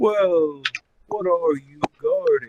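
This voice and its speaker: A man puts on a character voice, pitching it high. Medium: actual play. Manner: formal, earnest.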